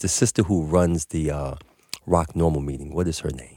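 A man with a New York accent, very deep and low in pitch, dark and mellow in tone, at a moderate pace. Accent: New York City. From Harlem, New York City. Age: 50s. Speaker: cannabis business owner. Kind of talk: casual chat. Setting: studio.

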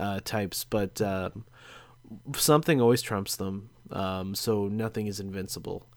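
A man's plain, everyday voice, fairly low in pitch, at a fairly slow pace. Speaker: podcast host. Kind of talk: casual chat. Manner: joking, laughs often.

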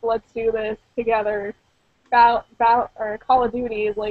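In a Pittsburgh accent, a woman speaks with monotone, flat intonation. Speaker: gaming podcast host. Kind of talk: casual chat.

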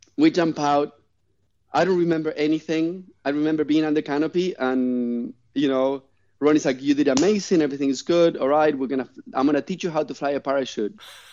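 Talking at a very fast pace, a man with a non-native accent uses a fairly high pitch and ordinary pitch variation. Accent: noticeable foreign. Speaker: master parachute rigger and skydiver. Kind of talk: casual chat. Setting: remote call over the internet. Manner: animated.

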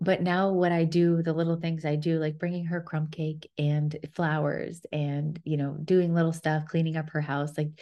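Her voice is very deep and low, with a dark, mellow tone and flat, monotone intonation. The woman talks at a moderate pace against a quiet background. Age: 30s. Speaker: podcast host. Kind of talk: solo storytelling monologue.

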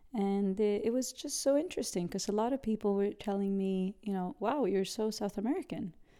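In a very clean recording with a silent background, a dark, mellow voice goes at a fairly quick pace with hardly any pauses and ordinary pitch variation. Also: woman, medium pitch for a woman. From Sweden. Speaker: businesswoman. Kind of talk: interview. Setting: home apartment.

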